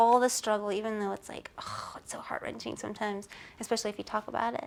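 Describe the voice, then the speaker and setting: A soft-spoken delivery at a very fast pace, with big swings in loudness. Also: woman. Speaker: supermodel and author. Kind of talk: interview answer.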